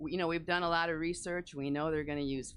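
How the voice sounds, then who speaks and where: With an American accent, a woman is speaking. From US Midwest, northern Illinois. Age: 70s. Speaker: resident speaking at public comment. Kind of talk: public comment at a government meeting.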